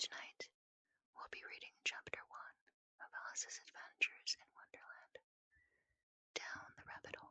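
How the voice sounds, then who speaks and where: Whispering at a moderate pace, the speaker stops for long, frequent pauses. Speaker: ASMR storyteller. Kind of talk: ASMR intro to listeners. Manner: whispered.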